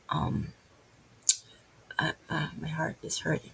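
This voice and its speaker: With noticeable background noise, a woman speaks at a moderate pace with a Filipino accent. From Philippines. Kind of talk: casual religious talk. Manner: halting.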